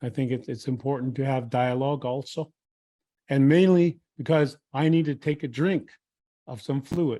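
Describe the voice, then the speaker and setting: Someone speaks with a Lakota accent in a dark, mellow tone, at a moderate pace and with fairly even intonation. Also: man. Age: old. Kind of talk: talk at a retreat. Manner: halting.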